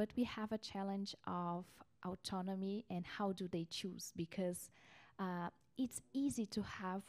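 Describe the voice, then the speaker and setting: A woman speaks with a dark, mellow tone at a medium pitch. Her pitch varies in an ordinary way. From Brazil. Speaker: researcher; panelist. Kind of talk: panel presentation. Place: meeting room. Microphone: handheld.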